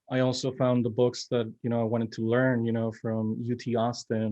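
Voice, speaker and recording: Speech comes in a Spanish accent at a moderate pace. The intonation is flat and monotone. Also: man. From Mexico, Monterrey. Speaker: filmmaker. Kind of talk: panel discussion.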